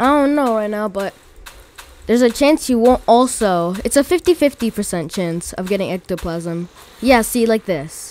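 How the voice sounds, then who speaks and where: A woman speaks at a fairly slow pace. Her pitch is fairly high. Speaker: gaming video creator. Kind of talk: casual gameplay tutorial narration. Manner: bored-sounding, flat.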